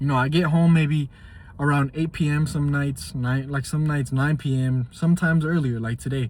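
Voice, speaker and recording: The pace is moderate. There is a somewhat breathy quality to the voice. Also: man, fairly high pitch for a man. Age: 20s. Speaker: fitness vlogger and truck driver. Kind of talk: casual vlog monologue. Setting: after a gym workout. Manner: casual, halting with restarts.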